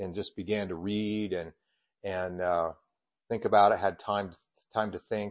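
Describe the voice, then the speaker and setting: A man talks at a fairly quick pace with an American accent. His voice sits fairly low in pitch. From Colorado. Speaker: church superintendent and preacher. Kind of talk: sermon. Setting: church.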